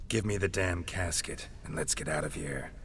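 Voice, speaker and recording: A man puts on a character voice with a very deep, low pitch, talking at a moderate pace over clear background noise. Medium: video game. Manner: terse, gruff.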